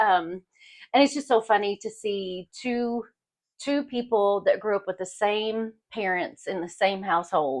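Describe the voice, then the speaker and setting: A woman speaks in a Kentucky accent. Her intonation is lively. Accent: Kentucky Southern US. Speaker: podcast co-host. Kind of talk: casual chat.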